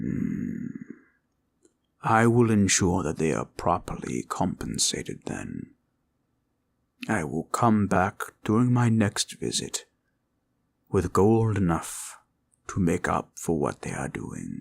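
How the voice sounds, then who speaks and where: A man's put-on character voice, fairly low pitch, fairly slow pace, with long, frequent pauses. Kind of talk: audio roleplay. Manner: formal, gentle.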